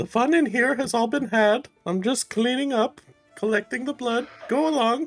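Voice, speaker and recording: Over faint music in the background, a man uses a put-on character voice, extremely high-pitched and raised and projected, at a moderate pace. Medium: actual play. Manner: put-on high female voice.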